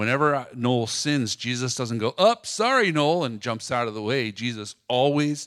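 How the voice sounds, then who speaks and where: A man's ordinary speaking voice at medium pitch, fairly slow and with ordinary pitch variation, on a very clean recording with a silent background and a dry, close sound with no echo. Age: 50s. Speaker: pastor's son sharing testimony with his wife. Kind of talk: testimony.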